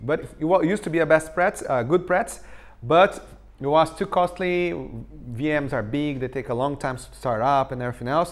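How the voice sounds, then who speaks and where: On a very clean recording with a silent background, a man with a Portuguese accent talks at a fairly high pitch with ordinary pitch variation. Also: fairly quick pace. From Brazil. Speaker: tech conference speaker. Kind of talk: technical talk.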